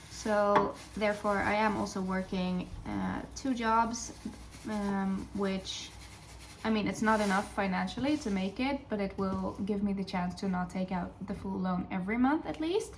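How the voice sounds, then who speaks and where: In a Dutch accent, a woman speaks at a medium pitch and a fairly slow pace, with ordinary pitch variation. Noticeable background noise and audible room echo fill the recording. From Sweden. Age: 20s. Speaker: vlogger and teaching student. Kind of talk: casual vlog chat. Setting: home kitchen while baking. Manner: hesitant with many fillers.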